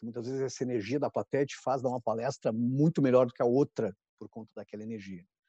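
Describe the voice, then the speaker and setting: A man at medium pitch speaks very fast in a dark, mellow tone, his loudness swinging widely, the sound dry and close with no echo. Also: ordinary pitch variation, quiet background. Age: 50s. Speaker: branding consultant and speaker. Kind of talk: interview on live stream.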